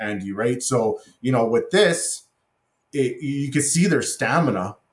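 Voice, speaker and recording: At a moderate pace and medium pitch, a man talks in a somewhat breathy voice. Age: 40s. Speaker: irrigation contractor and inventor. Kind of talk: interview. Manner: halting.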